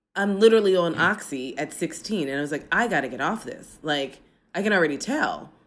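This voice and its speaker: A woman with an American accent speaks in a normal speaking voice with lively intonation. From United States. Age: 40s. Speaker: political science professor. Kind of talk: casual interview conversation. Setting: remote from home apartment, traffic noise.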